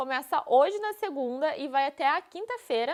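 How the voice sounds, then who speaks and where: This woman talks at a moderate pace in a high pitch, her tone animated and her intonation lively. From interior of Paraná, Brazil (Dois Vizinhos). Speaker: dentist and course instructor. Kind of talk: live stream presentation. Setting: live online stream.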